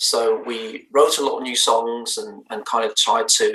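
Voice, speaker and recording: With a slight Danish accent, a man speaks at a fairly slow pace. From Denmark, Bornholm island. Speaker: indie band lead singer. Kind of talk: interview. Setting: live stream interview.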